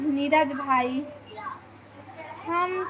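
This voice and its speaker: Noticeable background noise accompanies a woman's voice. Her pitch is high and her intonation fairly even. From Chhattisgarh. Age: 50s. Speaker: vlogger. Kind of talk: live stream chat. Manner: casual.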